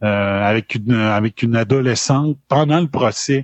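Here a man speaks with a Quebec accent. His medium-pitched voice shows ordinary pitch variation. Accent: Québécois French. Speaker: former radio host. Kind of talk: live podcast chat.

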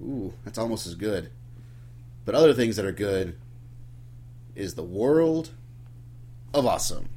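A man speaks in a fairly low pitch with vocal fry, leaving long, frequent pauses. His loudness swings widely, and his pitch swings very widely. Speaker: podcast host. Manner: casual, jokey.

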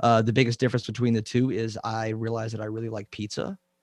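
A medium-pitched man at a very fast pace, in a dry, close sound with no echo and a quiet background. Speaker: science YouTuber. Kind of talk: casual interview chat. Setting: remote call. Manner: halting, hesitant with filler words.

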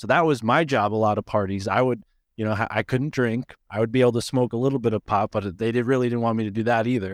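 A man at a medium pitch, very fast pace and fairly even intonation, in a dry, close sound with no echo against a quiet background. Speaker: podcast host, guest researcher. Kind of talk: casual chat. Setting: video call. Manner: measured pace.

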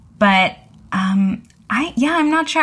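Lively intonation from a woman, with noticeable background noise behind. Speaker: tech journalist. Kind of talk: casual panel discussion.

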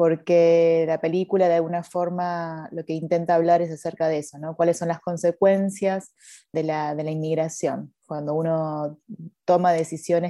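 Against a quiet background, a woman speaks at a fairly slow pace in a fairly low pitch, her tone dark and mellow and her intonation monotone and flat. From Argentina. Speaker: film director. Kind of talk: interview.

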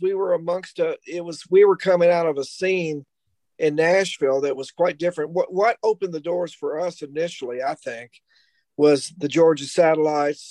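A man speaks at a moderate pace with a Kentucky accent, his voice high-pitched and his pitch varying in an ordinary way. The sound is dry and close, with no echo. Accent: Kentucky Southern US. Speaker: rock guitarist. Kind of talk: casual panel chat.

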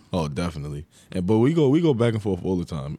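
His pace is very fast. The man's tone is dark and mellow. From New York, Long Island. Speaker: college basketball player. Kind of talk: interview.

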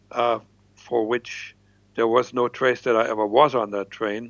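Speaking with a German accent, a man uses a medium pitch and a fairly slow pace. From East Germany. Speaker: former spy. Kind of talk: interview storytelling.

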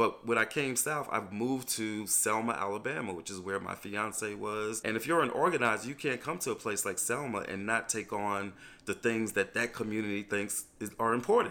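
A man with an American accent speaks at a moderate pace and medium pitch, with hardly any pauses, ordinary pitch variation and a bright, sharp tone. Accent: faint New York accent, comes out now and then. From New York. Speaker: voting rights activist, nonprofit director. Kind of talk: interview.

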